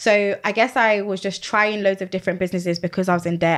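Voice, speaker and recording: In a British accent, the voice runs at a very fast pace with fairly even intonation, on a very clean recording with a silent background. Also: woman. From UK. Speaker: Amazon seller and business coach. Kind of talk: podcast interview.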